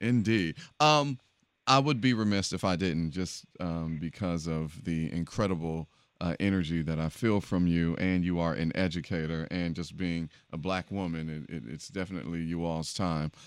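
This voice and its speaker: Here a man speaks with a very deep, low pitch. His pace is moderate and his pitch varies in an ordinary way. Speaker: radio podcast host. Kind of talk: casual chat and interview. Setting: studio.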